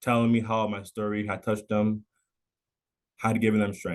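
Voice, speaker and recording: The man speaks at a moderate pace. His intonation is monotone and flat. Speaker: mental health storyteller. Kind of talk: testimony. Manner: halting, repeated syllables; reading a prepared speech.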